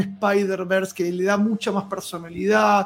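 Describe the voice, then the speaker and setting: With an Argentine accent, a man speaks at a moderate pace in a high pitch. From Argentina. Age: 40s. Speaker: cosplayer. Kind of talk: casual chat.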